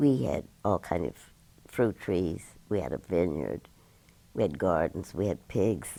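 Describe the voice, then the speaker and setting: A man's very deep, low voice carries vocal fry and a dark, mellow tone, broken by long, frequent pauses. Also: lively intonation, fairly slow pace. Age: 90s. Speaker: oral history interviewee. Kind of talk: oral history interview.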